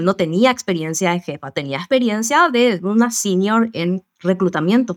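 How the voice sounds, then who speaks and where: Recorded very cleanly against a silent background, the sound is dry and close with no echo. A woman with an ordinary speaking voice talks at medium pitch and a moderate pace, with ordinary pitch variation. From Paraguay. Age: 40s. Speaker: work psychologist. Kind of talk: interview.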